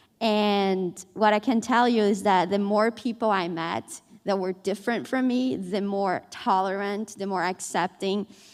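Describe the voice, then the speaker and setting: A woman talks with a Portuguese accent. The recording is very clean, with a silent background. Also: medium pitch for a woman, fairly even intonation, fairly slow pace. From Brazil. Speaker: newspaper reporter. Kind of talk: panel discussion.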